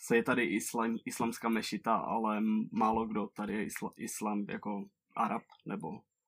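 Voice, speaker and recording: With a dry, close sound and no echo, a man talks at a fairly slow pace, his medium pitch carried by fairly even intonation. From Czech Republic, near Ostrava. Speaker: traveller. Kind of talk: interview. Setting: call.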